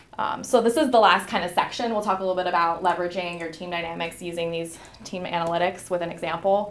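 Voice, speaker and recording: A woman's fairly low voice at a very fast pace, hardly any pauses, fairly even intonation, audible room echo and noticeable background noise. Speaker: leadership workshop presenter. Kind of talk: interactive workshop presentation.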